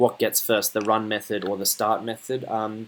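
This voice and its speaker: Speech at a moderate pace comes through with noticeable noise behind it. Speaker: student programmer giving coding tutorial. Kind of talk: coding tutorial. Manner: casual, hesitant with fillers.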